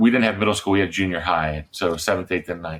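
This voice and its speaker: A man talks at a fairly low pitch with ordinary pitch variation. It is a plain, everyday voice. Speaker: middle grades author and former television writer. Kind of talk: interview answer, telling a personal anecdote.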